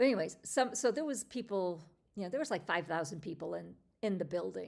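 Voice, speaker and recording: A woman's medium-pitched voice with vocal fry, lively intonation and a fairly quick pace. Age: 50s. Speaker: lifestyle livestream host. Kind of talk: casual chat. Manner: conversational with fillers.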